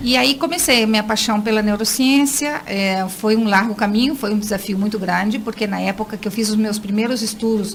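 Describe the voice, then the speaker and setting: A woman talks at a fairly quick pace with a fairly high pitch and ordinary pitch variation over noticeable background noise. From Brazil. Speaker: neuroscience and education specialist. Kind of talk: radio interview.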